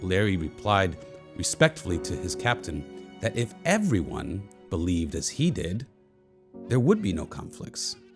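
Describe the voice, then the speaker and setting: Music plays in the background as a man speaks at a moderate pace. His pitch makes very wide swings. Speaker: local history show host. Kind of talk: documentary narration.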